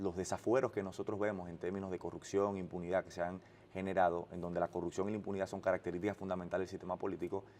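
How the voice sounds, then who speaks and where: The tone is dark and mellow, set against a quiet background. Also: man. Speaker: political spokesperson. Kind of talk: interview. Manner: halting, frequent restarts.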